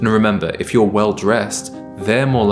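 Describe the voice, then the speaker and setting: Clear music plays behind a man whose voice sits fairly low. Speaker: style content creator. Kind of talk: advice talk to camera. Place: kitchen.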